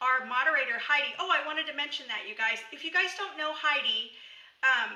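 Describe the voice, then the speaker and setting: A woman speaks at a fairly quick pace in a raised, projected voice with a bright, sharp tone. Audible room echo surrounds her. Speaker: homesteading and herbal medicine teacher. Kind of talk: live stream tutorial. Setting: live video stream. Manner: casual, filler-heavy.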